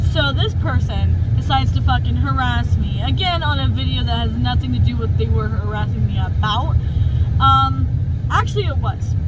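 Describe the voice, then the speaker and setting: The speech moves at a moderate pace over loud background noise. The sound is dry, with no echo. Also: woman. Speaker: vlogger. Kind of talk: casual vlog chat. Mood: annoyed, venting about harassment. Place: car. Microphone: phone near.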